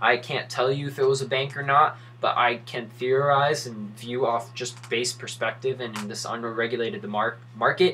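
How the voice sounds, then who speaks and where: A man at a medium pitch talks with hardly any pauses. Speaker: crypto YouTuber. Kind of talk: casual commentary video. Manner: fast; animated.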